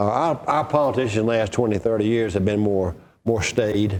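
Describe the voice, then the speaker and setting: This man speaks with an Alabama accent. His tone is dark and mellow. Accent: Southern US (Alabama). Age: 60s. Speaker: political historian and author. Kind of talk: interview. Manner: storytelling, conversational.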